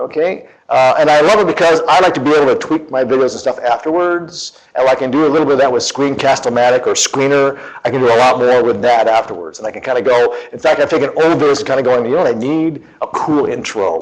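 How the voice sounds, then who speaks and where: Very fast and animated, a man talks at a fairly high pitch with noticeable background noise. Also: ordinary pitch variation. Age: 50s. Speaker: teacher and conference presenter. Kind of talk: conference talk.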